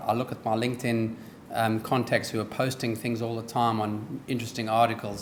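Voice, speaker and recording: Amid noticeable background noise and audible room echo, a man with a slight South African accent speaks at a medium pitch. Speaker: business executive, guest speaker. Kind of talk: speech. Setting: dinner event with audience. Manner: hesitant with frequent ums.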